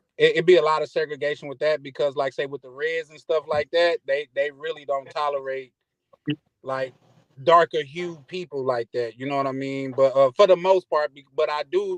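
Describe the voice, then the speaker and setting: Speaking at a moderate pace with a Mississippi accent, the voice keeps a fairly even intonation. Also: man. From US South, Mississippi. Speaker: caller. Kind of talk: casual chat. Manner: halting, repetitive filler.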